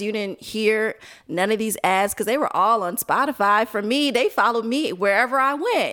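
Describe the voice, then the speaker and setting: In a very clean recording with a silent background, a woman with an American accent and a plain, everyday voice speaks at a moderate pace, her fairly high pitch showing ordinary variation. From Chicago area. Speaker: media co-founder. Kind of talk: casual chat.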